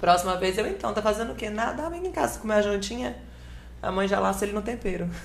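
There is audible room echo as a woman talks at a very fast pace. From northern Espírito Santo, Brazil. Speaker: content creator and model. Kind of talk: casual podcast interview.

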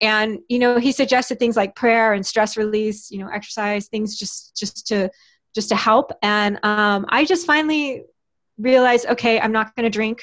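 A woman with an ordinary speaking voice talks at a moderate pace, her pitch fairly high with ordinary variation, on a very clean recording against a silent background. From Texas. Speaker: writer and podcast host. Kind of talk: interview.

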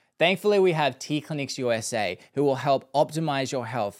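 A normal speaking voice, its pitch shifting in an ordinary way, delivered at a moderate pace. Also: man. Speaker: podcast host. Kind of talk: casual interview chat.

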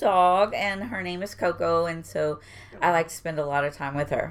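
A woman with an American accent talks in a normal speaking voice. Her pace is moderate and her pitch variation ordinary. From Houston, Texas (East End). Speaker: port employee. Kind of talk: casual interview chat.

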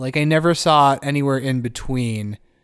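Over a silent background in a very clean recording, a man with a fairly high pitch talks at a moderate pace in a playful, animated tone. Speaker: co-host. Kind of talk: casual comedic podcast banter. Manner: playful, animated, riffing.

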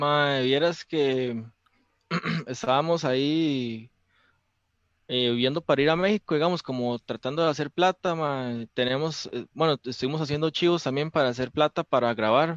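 A man with a Costa Rican accent speaks at a fairly high pitch and a moderate pace with ordinary pitch variation, in a dry, close sound with no echo. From Costa Rica, Belén. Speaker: rock musician. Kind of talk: casual chat.

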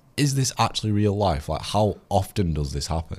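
There is vocal fry in this man's voice. His intonation is lively. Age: 20s. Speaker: TikTok DJ. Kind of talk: casual chat. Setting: studio.

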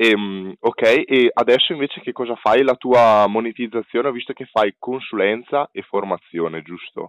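A man's unremarkable speaking voice, ordinary pitch variation, moderate pace. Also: medium pitch for a man. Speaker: podcast host. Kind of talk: interview.

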